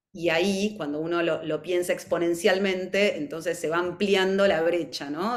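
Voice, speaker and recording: A woman with a plain, everyday voice talks at a moderate pace, her fairly low pitch held in fairly even intonation. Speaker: mental health professional presenter. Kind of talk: webinar presentation.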